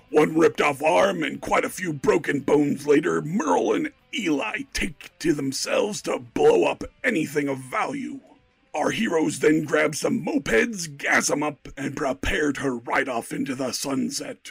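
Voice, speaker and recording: At a moderate pace, a man performs a put-on character voice pitched fairly high. Faint music plays in the background. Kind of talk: game-show announcer. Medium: actual play. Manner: hyped, brash, joking.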